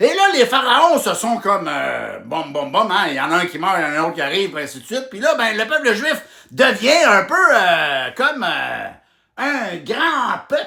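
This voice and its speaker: A fairly slow pace in a Quebec accent. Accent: rural Quebec French. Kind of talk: humorous retelling of a Bible story to camera. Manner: casual, joking.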